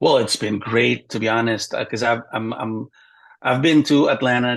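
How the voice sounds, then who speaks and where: A man speaks in an Indonesian accent at a medium pitch. His intonation stays fairly even. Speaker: stand-up comedian. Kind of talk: interview.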